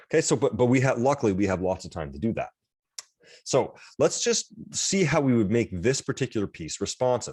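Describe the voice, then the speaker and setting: A man's medium-pitched voice with vocal fry and lively intonation at a fairly quick pace, dry and close with no echo, a very clean recording with a silent background. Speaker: college instructor. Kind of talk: lecture. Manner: fast; animated.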